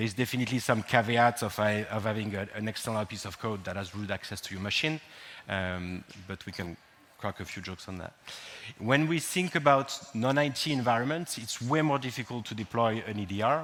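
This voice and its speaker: With a French accent, a man talks at a fairly quick pace in a medium pitch with ordinary pitch variation. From France. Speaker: cybersecurity speaker. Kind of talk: conference talk. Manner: hesitant, many fillers.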